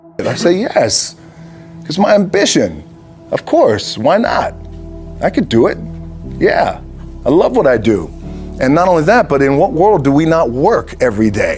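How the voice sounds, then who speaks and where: Over music in the background, a man speaks at a moderate pace with long, frequent pauses. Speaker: actor and former football player. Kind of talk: motivational speech to a sports team. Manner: casual, unscripted, from the heart.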